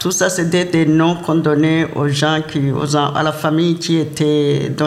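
A man speaks at a very slow pace with monotone, flat intonation, with audible room echo and noticeable background noise around him. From Burundi, Kayanza province. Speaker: immigrant elder. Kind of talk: testimony.

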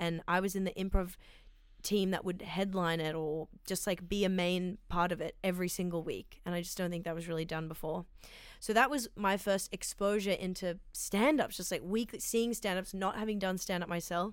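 A woman with an Australian accent, medium-pitched, at a moderate pace and with fairly even intonation. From Sydney, Australia. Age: 20s. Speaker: comedian. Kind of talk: casual chat.

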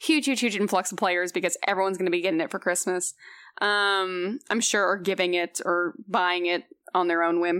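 With an American accent and a normal speaking voice, a woman talks fairly quickly at a medium pitch with fairly even intonation. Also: very even loudness. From Houston, Texas. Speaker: video game host and writer. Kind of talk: casual chat.

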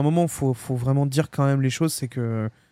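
A man in a plain, everyday voice speaks fairly quickly, his fairly high pitch varying in an ordinary way. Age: 20s. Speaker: gaming podcast co-host. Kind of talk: casual chat.

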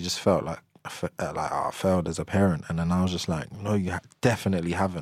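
A man talks with a London accent at a very fast pace. His very deep, low pitch holds fairly even intonation. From south London. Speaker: musician and parent. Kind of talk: casual interview.

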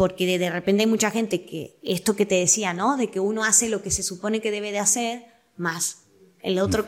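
Over noticeable background noise, a woman with a Rioplatense accent talks at a fairly quick pace in a medium pitch with fairly even intonation. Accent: Argentine Rioplatense Spanish. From Argentina, Quilmes. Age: 20s. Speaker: actress, voice-over artist and comedian. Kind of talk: casual interview chat.

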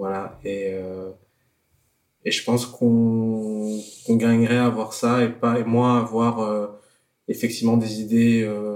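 With flat, monotone intonation, a man keeps his voice at a medium pitch. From France. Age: 30s. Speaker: slam poet. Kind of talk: casual chat.

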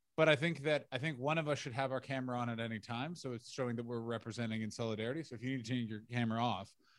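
Someone with a Canadian accent speaks at a very fast pace with ordinary pitch variation. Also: man. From Canada, Ottawa. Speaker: comedian and podcast co-host. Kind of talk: casual chat. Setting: video call. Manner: animated.

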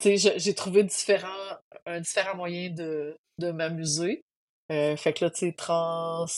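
A woman with a Quebec accent, fairly low in pitch, very slow, in a monotone, flat intonation. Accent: Québécois French. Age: 40s. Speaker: trail runner. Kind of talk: interview testimony.

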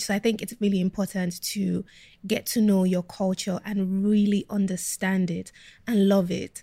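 On a very clean recording with a silent background, a woman at medium pitch speaks fairly slowly in a dark, mellow tone that is somewhat breathy. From Nigeria (Lagos), then Kent, England from age 13. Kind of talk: interview.

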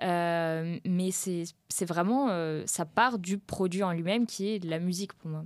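A woman with a plain, everyday voice, fairly low in pitch, speaks with fairly even intonation on a very clean recording with a silent background. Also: fairly slow pace. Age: 20s. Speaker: professional guitarist. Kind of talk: casual interview.

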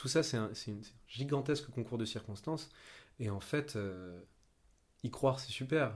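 A man's somewhat breathy, medium-pitched voice moves at a fairly slow pace with ordinary pitch variation and long, frequent pauses. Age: 20s. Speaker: young actor. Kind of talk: casual chat. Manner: halting.

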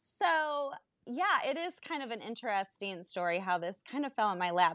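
A woman's voice with very wide pitch swings, in a very clean recording with a silent background and a dry, close sound with no echo. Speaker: entrepreneur and working mom. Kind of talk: casual chat.

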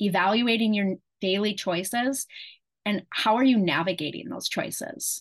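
An ordinary speaking voice from a woman, medium in pitch and fairly slow in pace, against a quiet background. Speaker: health coach. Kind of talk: coaching talk to a group. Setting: video call. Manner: warm, encouraging.

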